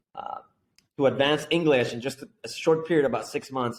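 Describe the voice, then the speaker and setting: With a Spanish accent, a man talks at a fairly quick pace in a fairly high pitch. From Mexico, Guadalajara. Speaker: entrepreneur. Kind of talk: interview. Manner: animated.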